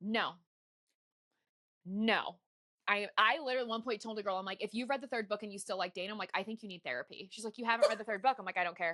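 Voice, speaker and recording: A woman speaks at a very fast pace with long, frequent pauses, her fairly high, bright, sharp voice animated in tone with ordinary pitch variation. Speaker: podcast host. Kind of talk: casual chat.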